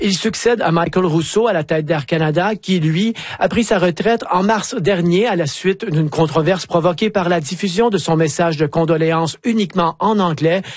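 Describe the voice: A man speaks at a moderate pace in a fairly high voice, his pitch moving in an ordinary way.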